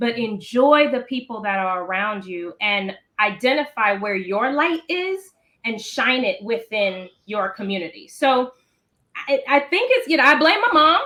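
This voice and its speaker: A woman speaks at a fairly slow pace in a high, bright and sharp voice, bubbly in tone, with very wide swings in pitch. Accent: slight Maryland. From Maryland, US East Coast. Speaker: founder of a children's reading organization. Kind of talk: interview.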